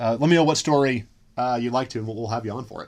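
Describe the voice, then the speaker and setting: This man's pitch varies in an ordinary way as he talks at a very fast pace. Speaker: comedy podcast co-host. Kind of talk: casual chat.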